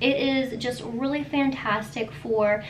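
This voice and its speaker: A woman's voice with ordinary pitch variation, over light background noise. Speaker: skincare YouTuber. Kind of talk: tutorial. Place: home room.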